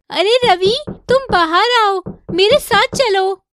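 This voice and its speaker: In a cartoonish character voice, a woman speaks at an extremely high pitch. Her pace is fairly slow. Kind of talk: animated horror story narration.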